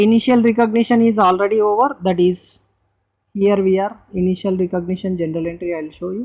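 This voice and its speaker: A woman with an Indian accent speaks fairly quickly at a medium pitch with ordinary pitch variation. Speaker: accounting teacher. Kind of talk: lecture.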